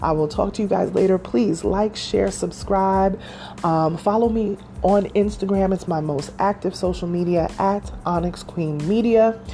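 A woman with an American accent talks at a fairly slow pace. Noticeable background noise runs underneath. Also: medium pitch for a woman, ordinary pitch variation. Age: 40s. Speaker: podcast host. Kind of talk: casual chat.

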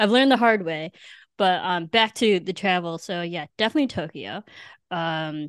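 An ordinary speaking voice with a General American accent moves at a moderate pace. The sound is dry and close with no echo, against a quiet background. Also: woman. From US Midwest. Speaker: podcast host. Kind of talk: casual chat.

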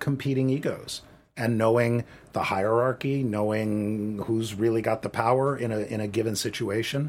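A man with an unremarkable speaking voice, ordinary pitch variation, moderate pace. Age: 50s. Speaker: assistant director and film teacher. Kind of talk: interview.

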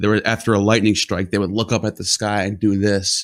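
A normal speaking voice at a moderate pace, on a very clean recording with a silent background. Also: man. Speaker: podcast host. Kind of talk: casual podcast conversation.

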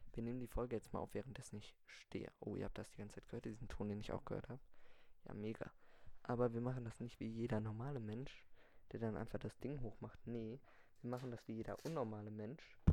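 A man's very fast speech at medium pitch, dark and mellow in tone, with fairly even intonation. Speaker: podcast host. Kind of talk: improvised solo monologue.

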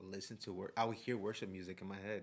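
A man's fairly low voice at a fairly quick pace. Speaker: testimony-giving guest. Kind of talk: testimony. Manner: nervous, animated.

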